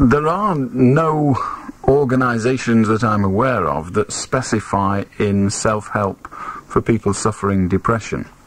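Recorded dry with no echo, a man speaks at a fairly slow pace with lively intonation. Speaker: radio phone-in host. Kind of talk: late-night radio phone-in chat. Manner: conversational, opinionated. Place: studio.

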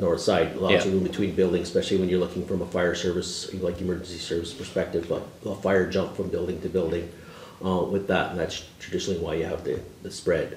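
A man talks at a fairly quick pace with a very deep, low pitch. There is light background noise and audible room echo. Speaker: deputy mayor, council member. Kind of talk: meeting discussion question. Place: meeting room. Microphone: camera far.

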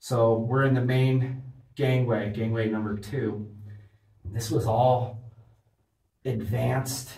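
Somewhat breathy, a man talks with ordinary pitch variation against audible room echo. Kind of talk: casual vlog commentary. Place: tunnel cave.

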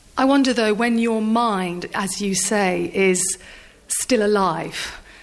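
Against noticeable background noise, a woman speaks at a fairly slow pace and medium pitch with fairly even intonation. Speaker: sports journalist. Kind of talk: interview question.

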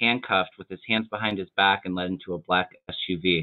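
A man at a moderate pace, quiet background. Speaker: tarot reader. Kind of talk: casual chat. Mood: earnest, speculative. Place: home room. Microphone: webcam.

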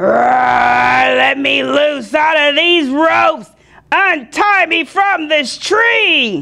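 A put-on character voice speaks at a very slow pace in a high pitch.

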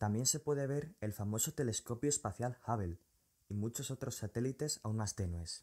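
Moderate pace, somewhat breathy, with lively intonation on a very clean recording with a silent background. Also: man. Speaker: science video creator. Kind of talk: scripted narration.

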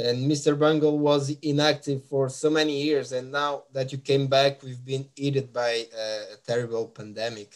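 The speaker has a Portuguese accent and a moderate pace. The intonation is fairly even, with hardly any pauses. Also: man, fairly high pitch for a man, quiet background. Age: 30s. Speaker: music podcast host. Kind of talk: interview. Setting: live stream. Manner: halting. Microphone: webcam.

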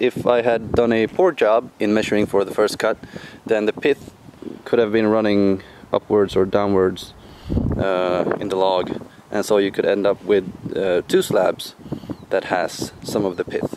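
Over noticeable background noise, a man talks at a moderate pace in a fairly low pitch with fairly even intonation. His long pauses come often, and the sound is dry with no echo. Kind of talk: tutorial. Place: open country. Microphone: phone near.

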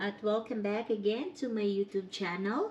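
A woman speaks in an unremarkable speaking voice at a fairly high pitch. Her pace is fairly slow. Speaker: vlogger. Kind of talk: vlog narration.

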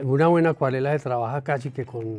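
Faint music plays in the background behind a man with a Colombian accent. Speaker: painter. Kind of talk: interview answer. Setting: art gallery. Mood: calm, reflective. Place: shop.

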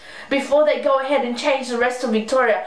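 A high-pitched woman's voice with an Australian accent, with audible room echo. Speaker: beauty vlogger. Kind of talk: angry rant, frustrated complaint to camera about store changes. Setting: home video blog, speaking to camera. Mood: frustrated, complaining. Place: home room. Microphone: webcam.

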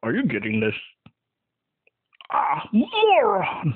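The pace is very slow. It is a cartoonish character voice. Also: man. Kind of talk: cartoon character voice impression. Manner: theatrical, villainous ranting.

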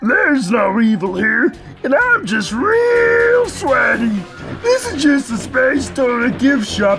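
A put-on character voice with vocal fry, a fairly bright tone and big pitch swings, at a slow pace with few pauses over faint background music.

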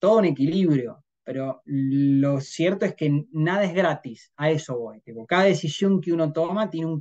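Over a quiet background, a man with a dark, mellow tone speaks at a fairly high pitch with ordinary pitch variation. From Argentina, Río Cuarto, Córdoba; Córdoba, Argentina. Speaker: trader, head of trading desk; interview guest. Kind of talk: interview conversation. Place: home room. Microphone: video call.

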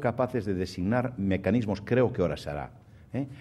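A fairly quick pace carries this dark, mellow tone. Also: man. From Spain, Galicia. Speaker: banking association president; guest. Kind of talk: keynote speech; formal speech and Q&A answers. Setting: stage with audience. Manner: halting. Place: hall. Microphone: podium.

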